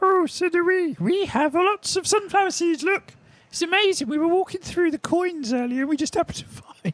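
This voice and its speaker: A put-on character voice at an extremely high pitch and a fairly quick pace. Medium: actual play. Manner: friendly, chatty, fussy.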